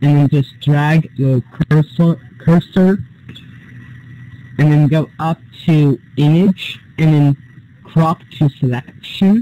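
A man's fairly high-pitched voice with a dark, mellow tone, somewhat breathy, very even in loudness, at a very slow pace with long, frequent pauses. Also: ordinary pitch variation, dry, close sound with no echo. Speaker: student moderator helping classmates. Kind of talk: tutorial.

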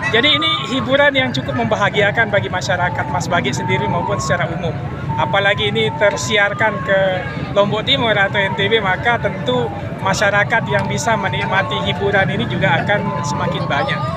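Crowd noise runs in the background of a dry sound with no echo. A man speaks at a fairly quick pace. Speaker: interviewee. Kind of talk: interview answer. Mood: friendly, smiling. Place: open country. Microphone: handheld.

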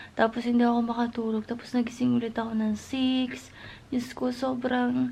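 A fairly high-pitched woman at a fairly slow pace. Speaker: vlogger. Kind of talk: vlog monologue. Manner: chatty.

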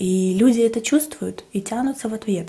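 A woman speaks at a moderate pace. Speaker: eating-show vlogger. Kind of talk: casual vlog chat. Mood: warm, reflective. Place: kitchen.

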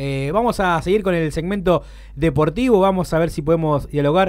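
A man is speaking. His pace is fairly quick. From Argentina (Santa Fe province). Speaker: sports segment host. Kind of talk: radio sports interviews. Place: studio. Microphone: studio mic.

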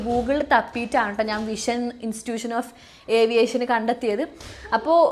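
Over music in the background, a woman talks at a fairly high pitch. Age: 20s. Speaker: YouTuber and aviation student. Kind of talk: casual vlog monologue.

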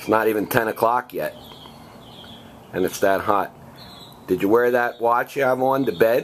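A man at a moderate pace with long, frequent pauses and fairly even intonation, over light background noise. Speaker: family carer of mother with Alzheimer's. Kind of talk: casual talk while filming family. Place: garden.

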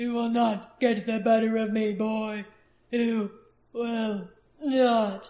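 A put-on character voice, growling at a fairly high pitch, monotone and flat, very slow with long, frequent pauses. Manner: growling, menacing.

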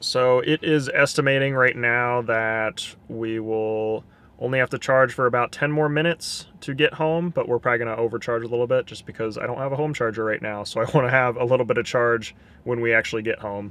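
A man at a fairly quick pace, fairly even intonation, dry sound with no echo. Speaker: vlogger. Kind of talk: casual vlog chat. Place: car.

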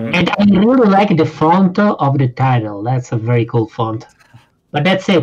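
A man with a fairly high-pitched voice, very wide pitch swings, very even loudness and a moderate pace, over noticeable background noise. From Italy. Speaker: gaming podcast co-host. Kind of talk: casual chat. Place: home room. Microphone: video call.

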